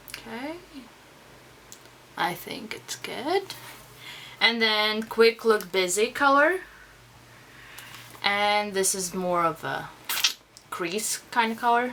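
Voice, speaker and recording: In a Russian accent, the speaker goes at a very slow pace with long, frequent pauses, lively intonation and big swings in loudness. Noticeable background noise runs underneath. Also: woman, fairly high pitch for a woman. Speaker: beauty vlogger. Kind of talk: tutorial. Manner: casual.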